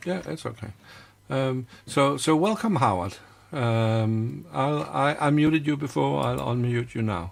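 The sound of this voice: A man's medium-pitched voice with vocal fry, ordinary pitch variation and a fairly slow pace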